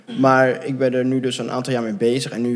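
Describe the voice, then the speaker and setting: A man uses a normal speaking voice, pitched at a medium level and delivered at a moderate pace. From Netherlands, near Gouda. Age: 20s. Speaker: adoptee sharing his story. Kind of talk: interview.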